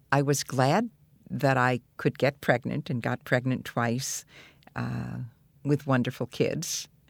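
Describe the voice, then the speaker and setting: A woman with an American accent speaks at a very slow pace. The recording is very clean with a silent background and a dry, close sound with no echo. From New York. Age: 70s. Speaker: activist and organizer. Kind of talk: interview, reflective storytelling. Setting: in-person interview.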